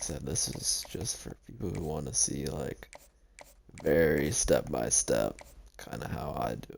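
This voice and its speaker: The speech has long, frequent pauses. Background noise is noticeable. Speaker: video game tutorial creator. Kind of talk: gameplay tutorial commentary. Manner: fast; casual, self-correcting with repetitions.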